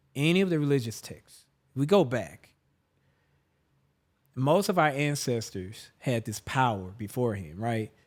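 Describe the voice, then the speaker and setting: With a Southern US accent, a man speaks in a medium pitch at a fairly slow pace, using very wide pitch swings and long, frequent pauses, in a very clean recording with a silent background. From Jackson, Mississippi. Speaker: musician and performer. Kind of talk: interview answer. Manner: casual, reflective.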